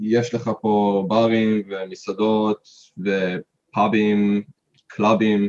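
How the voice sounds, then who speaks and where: A man speaks in a flat monotone at a very slow pace. The sound is dry and close, with no echo. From Israel. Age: 30s. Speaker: hiker. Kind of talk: interview. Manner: halting.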